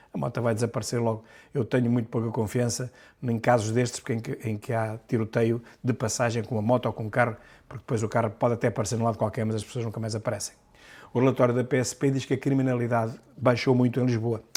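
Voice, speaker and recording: In a very clean recording with a silent background, a man speaks very fast at a medium pitch. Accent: European Portuguese. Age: 60s. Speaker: political commentator, deputy. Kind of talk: news commentary monologue. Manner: animated.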